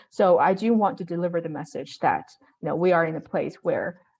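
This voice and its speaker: Speaking at a fairly quick pace in a Chinese accent, a woman uses a fairly low pitch with ordinary pitch variation. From China. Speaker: real estate investor. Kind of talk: interview. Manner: hesitant, many fillers.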